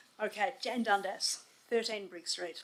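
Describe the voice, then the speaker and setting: In an Australian accent, a woman speaks at a fairly slow pace in a fairly high voice with ordinary pitch variation. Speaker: resident asking questions. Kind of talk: public question. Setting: council meeting hall with audience.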